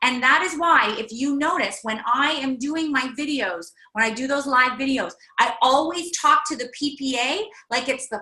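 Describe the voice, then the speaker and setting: A woman's raised, projected voice, high in pitch, with lively intonation. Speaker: workshop leader. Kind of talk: online workshop. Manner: loud.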